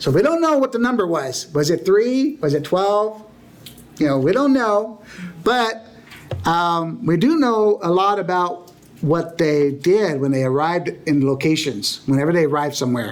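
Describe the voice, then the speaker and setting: With very wide pitch swings and very even loudness, the speaker talks at a moderate pace amid audible room echo. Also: man, high pitch for a man. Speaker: Bible teacher. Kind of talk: lecture.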